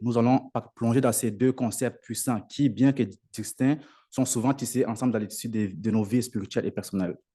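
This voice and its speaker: Against a quiet background, a man speaks at a medium pitch in a dark, mellow tone with fairly even intonation. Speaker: lay preacher. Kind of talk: sermon. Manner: halting.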